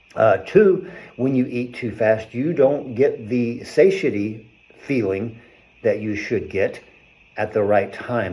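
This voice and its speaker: An unremarkable speaking voice: a man with an American accent, medium pitch, lively intonation and a fairly slow pace. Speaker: chiropractor. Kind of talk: health talk video.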